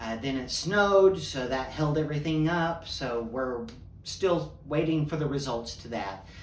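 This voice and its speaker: Audible room echo surrounds a man's fairly high-pitched voice. He keeps a moderate pace with ordinary pitch variation. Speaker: podcast host. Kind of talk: casual monologue.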